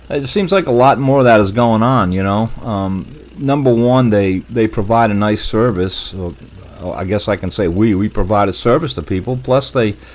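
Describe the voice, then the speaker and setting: Noticeable background noise sits behind a man with a fairly low pitch. He talks at a moderate pace with ordinary pitch variation. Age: 70s. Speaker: veteran doing yard cleanup, YouTuber. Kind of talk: casual vlog talk to viewers. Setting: home office, bedroom desk. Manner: halting, many fillers and repeats.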